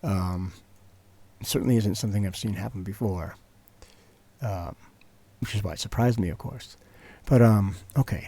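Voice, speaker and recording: On a very clean recording with a silent background, a man speaks at a moderate pace in a fairly low, somewhat breathy voice with a dark, mellow tone and long, frequent pauses. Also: ordinary pitch variation. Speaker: tech tutorial youtuber. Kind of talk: screen-recorded software tutorial. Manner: quieter than usual, trying not to wake child; hesitant with many fillers.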